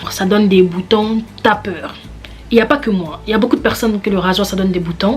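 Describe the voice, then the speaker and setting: With music playing in the background, a woman talks at a fairly quick pace and medium pitch, with ordinary pitch variation. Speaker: beauty vlogger and model. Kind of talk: casual vlog tutorial. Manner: animated, repetitive.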